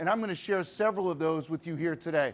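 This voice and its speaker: An East Coast US accent on a very clean recording with a silent background. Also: man. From US East Coast. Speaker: sales speaker. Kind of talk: keynote talk. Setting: stage with audience. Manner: animated.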